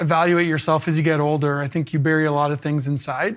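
A man with a Canadian accent and a plain, everyday voice talks at a fairly quick pace and fairly high pitch in a very clean recording with a silent background. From Canada. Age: 40s. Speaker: former pro hockey player and teacher. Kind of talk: interview.

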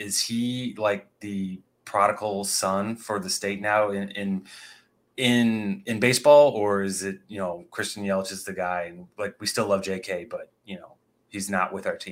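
In a very clean recording with a silent background, a man with an unremarkable speaking voice talks at a fairly slow pace in a fairly low pitch, his intonation fairly even but his loudness swinging widely. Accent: American. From Indiana. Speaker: podcast co-host. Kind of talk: casual sports podcast chat.

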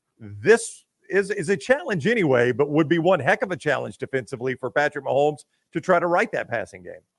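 A man talks very fast in a fairly high pitch with vocal fry and very wide pitch swings, recorded dry and close with no echo. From Alabama. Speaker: sports radio host. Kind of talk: casual chat.

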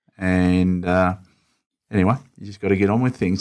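Recorded very cleanly against a silent background, a man with an Australian accent speaks in a very deep, low voice. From Melbourne western suburbs, Australia. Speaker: state politician. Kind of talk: interview.

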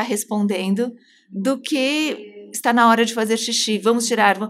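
A woman with an unremarkable speaking voice keeps a moderate pace, her pitch fairly high. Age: 40s. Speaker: psychoanalyst. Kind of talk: casual chat.

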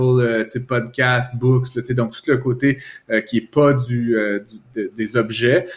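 A man speaks with a Quebec accent at a medium pitch. His voice is somewhat breathy. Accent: Québécois French. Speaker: economics commentator. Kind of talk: casual chat.

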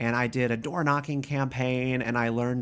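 In an American accent, an ordinary speaking voice moves at a fairly quick pace on a very clean recording with a silent background. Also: man. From US South, North Carolina (Raleigh). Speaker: media director at a consumer advocacy group. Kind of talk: casual interview. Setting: in person, Washington D.C.

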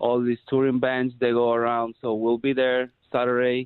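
This speaker is a man with a Spanish accent. His voice is medium in pitch. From Peru. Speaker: rock drummer. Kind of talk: casual interview.

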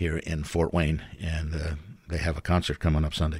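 The recording is very clean with a silent background as a man with an American accent speaks at a moderate pace in a very deep, low pitch. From New York. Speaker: volunteer radio host and music teacher. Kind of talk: casual interview.

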